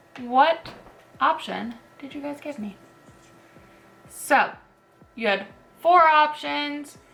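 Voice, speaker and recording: With music in the background, a woman speaks very slowly at a high pitch, her loudness swinging widely between long, frequent pauses, with ordinary pitch variation. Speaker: beauty youtuber. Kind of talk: makeup tutorial. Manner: casual, filler-heavy; quiet while doing liner.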